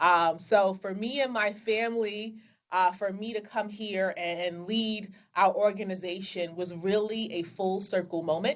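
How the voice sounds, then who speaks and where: A woman's medium-pitched voice with a Brooklyn accent and fairly even intonation. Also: fairly slow pace. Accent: Brooklyn New York. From Brooklyn, New York. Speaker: business executive. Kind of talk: interview. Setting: video call.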